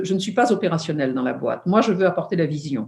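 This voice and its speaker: The voice leaps through very wide pitch swings and carries a somewhat breathy quality. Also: woman. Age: 70s. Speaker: entrepreneur and founder of a women's forum. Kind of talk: interview. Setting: video call. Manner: hesitant with many fillers.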